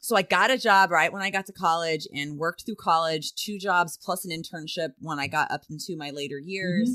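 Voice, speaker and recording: In a very clean recording with a silent background, a woman with an American accent and a fairly low pitch has a bright, sharp tone and a dry, close sound with no echo. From US West (Southern California). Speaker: self-defense instructor. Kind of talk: interview conversation. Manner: confident.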